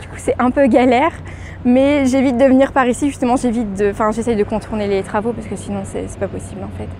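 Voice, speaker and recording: A woman talks at a fairly quick pace with ordinary pitch variation. Noticeable background noise runs underneath. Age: 20s. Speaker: student. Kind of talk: street interview.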